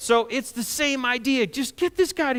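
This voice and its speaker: A man's bright, sharp voice at an extremely high pitch. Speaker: pastor. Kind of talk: sermon delivered to a congregation.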